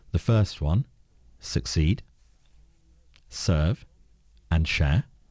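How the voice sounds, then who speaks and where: A somewhat breathy man with a London accent speaks at a very deep, low pitch in a dark, mellow tone against a quiet background. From London (Peckham). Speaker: board director and strategic advisor. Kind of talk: radio interview answer.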